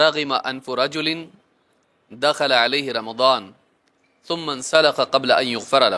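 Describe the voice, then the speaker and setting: Bright and sharp in tone, a man's fairly high voice keeps a fairly even intonation. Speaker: Islamic preacher giving a Ramadan lecture. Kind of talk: Islamic sermon (bayan) delivered to an audience.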